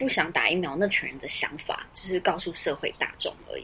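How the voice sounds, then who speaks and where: A woman's bright, sharp tone comes at a fairly quick pace. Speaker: podcast co-host. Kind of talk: casual chat. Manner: soft at the start of the recording.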